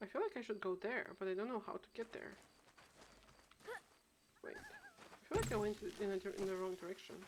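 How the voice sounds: A woman at a medium pitch talks at a fairly quick pace with a slightly husky edge, very wide pitch swings, and long, frequent pauses.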